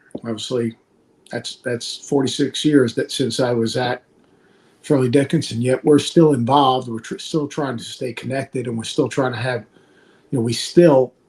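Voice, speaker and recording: Here is a man with an American accent and a medium pitch. His voice is somewhat breathy, with fairly even intonation. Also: moderate pace. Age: 60s. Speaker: college basketball analyst and former coach. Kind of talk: podcast interview.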